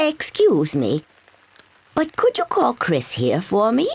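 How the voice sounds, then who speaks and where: Putting on a character voice, a woman speaks raspy yet gentle in tone, fairly high in pitch and at a fairly slow pace. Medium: video game. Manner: gentle, frail.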